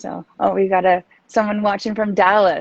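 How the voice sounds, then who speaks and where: A woman's voice with a Canadian East Coast accent. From East Coast Canada, New Brunswick. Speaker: feng shui designer, podcast host. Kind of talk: casual interview chat.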